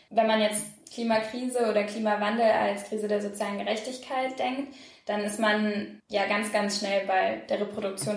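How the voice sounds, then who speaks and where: A woman at medium pitch talks at a moderate pace with fairly even intonation, audible room echo and noticeable background noise. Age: 20s. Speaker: political science student and climate activist. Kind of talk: interview.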